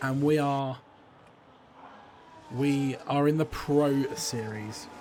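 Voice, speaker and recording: A man speaks at a very slow pace in a fairly high pitch, with fairly even intonation. Noticeable background noise sits behind him. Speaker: sim racing commentator. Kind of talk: live commentary. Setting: livestream. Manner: loud.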